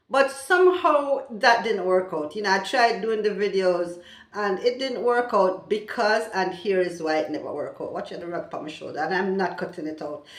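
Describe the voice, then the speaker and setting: Speaking at a moderate pace with hardly any pauses, a woman at medium pitch uses lively intonation and big swings in loudness, with audible room echo. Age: 60s. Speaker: vlogger. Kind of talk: casual vlog talk.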